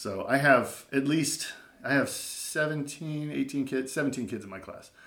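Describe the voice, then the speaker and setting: A man talks at a very slow pace, and audible room echo follows his words. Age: 40s. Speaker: elementary school teacher. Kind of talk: casual chat.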